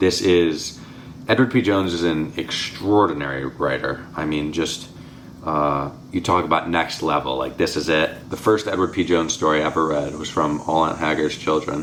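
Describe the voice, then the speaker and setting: Through noticeable background noise, a man with a very deep, low voice speaks with ordinary pitch variation. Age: young. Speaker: book reviewer. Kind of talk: casual chat. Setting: at home. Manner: fast.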